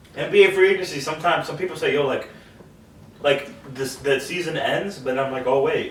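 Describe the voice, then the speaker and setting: A man at a fairly high pitch with ordinary variation and a fairly quick pace, with audible room echo and noticeable background noise. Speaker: sports podcast co-host. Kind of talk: casual chat. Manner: stuttering, repeats words; animated.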